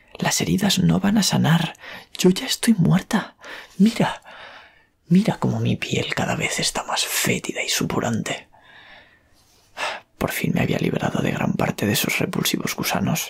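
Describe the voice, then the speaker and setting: A man whispers at a fairly slow pace. Long pauses come often. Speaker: horror story author and ASMR creator; ASMR creator. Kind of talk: whispered horror story narration. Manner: whispered, soft. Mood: eerie, dramatic. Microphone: studio mic.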